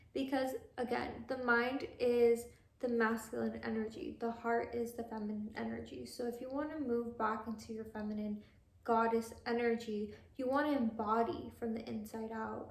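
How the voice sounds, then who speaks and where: A woman with an American accent speaks at a moderate pace and fairly high pitch in a monotone, flat intonation, with audible room echo and noticeable background noise. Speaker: lifestyle vlogger. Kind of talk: casual monologue.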